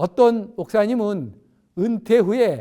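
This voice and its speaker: This man's voice sits high in pitch, with ordinary pitch variation and a dark, mellow tone. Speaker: retired pastor. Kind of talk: sermon.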